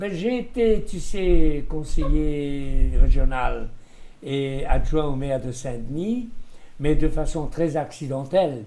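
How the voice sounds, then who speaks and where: Speaking at a very slow pace, this man has a dark, mellow tone, a fairly high pitch, lively intonation and big swings in loudness. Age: 80s+. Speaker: former newspaper owner and political adviser. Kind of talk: interview answer.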